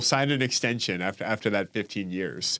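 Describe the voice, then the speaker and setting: A man with an American accent talks at a moderate pace in a plain, everyday voice, his intonation lively, on a very clean recording with a silent background. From US South, Atlanta, Georgia. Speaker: podcast host. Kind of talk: interview.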